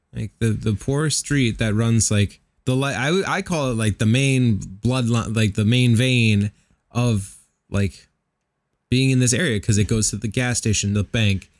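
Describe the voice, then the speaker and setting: Here is a man with an unremarkable speaking voice and a medium pitch. He goes at a fairly slow pace with ordinary pitch variation. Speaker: podcast co-host. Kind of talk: casual chat.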